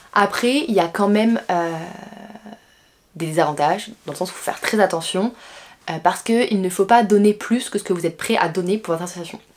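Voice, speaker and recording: A woman with a medium pitch speaks at a fairly quick pace, with long, frequent pauses and ordinary pitch variation. Her loudness swings widely over noticeable background noise. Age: 20s. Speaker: business school student. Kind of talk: vlog. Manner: casual, frequent hesitations.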